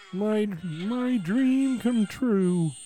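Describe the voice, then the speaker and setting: Clear background noise sits under a put-on character voice. The pitch is fairly high. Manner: exaggerated cartoon voice.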